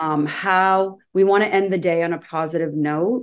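Over a quiet background, a woman with an American accent and an unremarkable speaking voice talks at a moderate pace, her fairly low pitch carried by fairly even intonation. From Massachusetts (Hingham). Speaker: addiction counselor. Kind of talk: interview.

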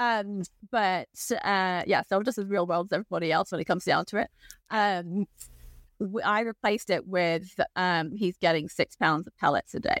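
Her pitch sits in the medium range with ordinary variation, and this woman keeps a moderate pace. The sound is dry and close, with no echo. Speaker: equine nutritionist. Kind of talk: casual conversational interview. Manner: explanatory.

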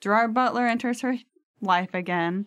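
Against a quiet background, a woman with an unremarkable speaking voice talks at a fairly high pitch with ordinary variation. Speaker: guest. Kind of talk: casual chat. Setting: studio.

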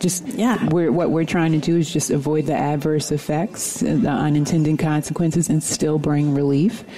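A woman with a very deep, low pitch at a moderate pace, with noticeable background noise. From New York. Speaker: actor and filmmaker. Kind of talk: interview.

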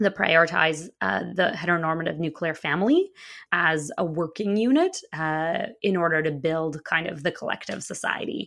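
A woman speaks in an unremarkable speaking voice, fairly low in pitch. Her pace is moderate and her pitch variation ordinary. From Russia, Moscow; moved to US at nine. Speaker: queer spiritual activist and author. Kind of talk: casual interview chat.

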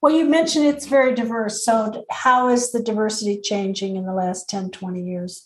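A woman speaks at a moderate pace with hardly any pauses, in a normal speaking voice. Her pitch is fairly high and her intonation lively. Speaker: podcast co-host.

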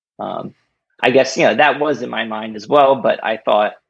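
A man with an American accent and vocal fry speaks at a fairly quick pace with ordinary pitch variation against a quiet background. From New Jersey. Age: 30s. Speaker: kidney donor and runner. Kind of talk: casual interview. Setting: remote call.

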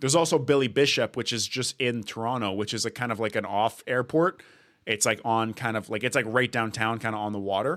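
A man with a Canadian accent talks at a fairly quick pace in a plain, everyday voice, medium in pitch with ordinary variation. The recording is very clean, with a silent background. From Canada, Edmonton, Alberta. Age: 20s. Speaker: podcast host. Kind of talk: casual chat.

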